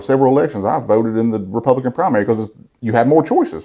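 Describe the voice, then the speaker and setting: Delivered at a very fast pace, the voice has lively intonation and a dark, mellow tone. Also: man. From Alabama. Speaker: content creator. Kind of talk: interview answer. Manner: funny, honest.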